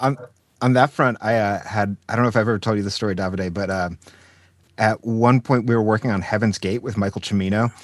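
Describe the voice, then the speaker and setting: Over a quiet background, a man speaks with an ordinary speaking voice at a fairly low pitch and fairly quick pace. His intonation is fairly even, and the sound is dry and close with no echo. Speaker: podcast co-host. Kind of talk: interview.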